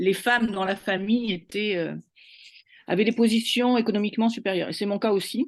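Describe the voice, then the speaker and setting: A woman speaks at a fairly high pitch and a moderate pace, with ordinary pitch variation. The background is quiet. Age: 60s. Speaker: university administrator. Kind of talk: testimony. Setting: online webinar. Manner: hesitant, many fillers.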